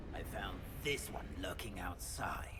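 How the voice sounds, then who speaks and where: A man whispers in a put-on character voice at a fairly slow pace. Loud background noise fills the recording. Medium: game stream. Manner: rough.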